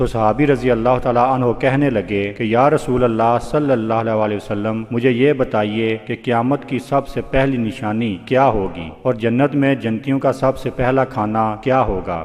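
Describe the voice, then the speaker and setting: Background noise is noticeable throughout. The intonation stays fairly even. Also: man, medium pitch for a man. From Pakistan. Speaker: voice over artist. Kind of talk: religious story narration.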